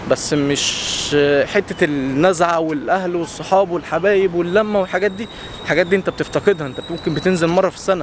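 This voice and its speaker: Noticeable background noise under a high-pitched man's voice moving at a moderate pace. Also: ordinary pitch variation. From Egypt. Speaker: content creator. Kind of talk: casual vlog monologue. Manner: loud.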